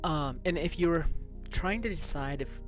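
Faint music plays in the background as a man talks at a fairly slow pace in a dry sound with no echo. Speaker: tarot host. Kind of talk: casual spiritual talk to viewers. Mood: calm, lightly amused. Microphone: studio mic.

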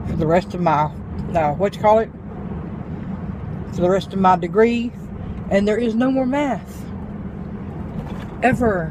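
With long, frequent pauses, a woman speaks in a dry sound with no echo over noticeable background noise. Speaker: vlogger. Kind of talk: casual vlog chat. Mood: relieved, mildly sardonic. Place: car. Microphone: phone near.

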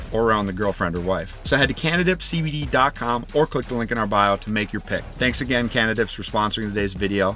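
The sound is dry, without any echo, as faint music plays behind. A man speaks at a fairly quick pace. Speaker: vlogger. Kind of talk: sponsor ad read. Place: open country.

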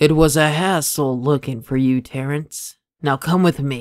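A man uses a put-on character voice, fairly high in pitch, at a moderate pace. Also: very clean recording, silent background. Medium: solo performance. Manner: cold, commanding.

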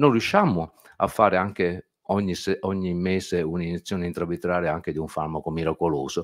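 A man speaks at a fairly quick pace with a very deep, low pitch. His intonation is fairly even, and the background is quiet. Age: 60s. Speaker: ophthalmologist; speaker. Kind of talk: panel talk. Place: meeting room. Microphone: podium.

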